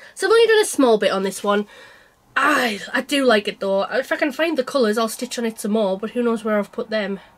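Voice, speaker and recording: With a northern English accent, a woman talks at a fairly quick pace and a fairly high pitch, with ordinary pitch variation, over noticeable background noise. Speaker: cross-stitch vlogger. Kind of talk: casual chat.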